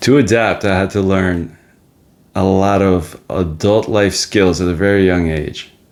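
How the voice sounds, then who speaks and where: A man with a very deep, low voice speaks at a fairly slow pace with fairly even intonation, on a very clean recording with a silent background. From Soviet Ukraine, then New Jersey from age 11. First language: Russian. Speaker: podcast host on men's mental health. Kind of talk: personal life story monologue. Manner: reflective, with frequent fillers.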